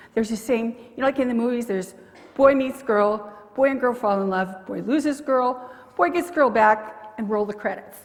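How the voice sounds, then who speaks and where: The woman's fairly high voice moves at a fairly quick pace, with noticeable background noise behind it. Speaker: pastor. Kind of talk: sermon. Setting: church.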